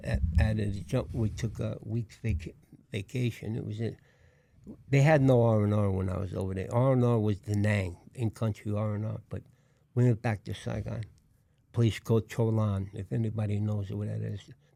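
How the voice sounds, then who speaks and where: A man's fairly low voice with a Brooklyn accent, a dark, mellow tone and ordinary pitch variation. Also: moderate pace. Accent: Brooklyn New York. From New York, Brooklyn. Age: 80s+. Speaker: war veteran. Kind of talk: interview. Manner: halting.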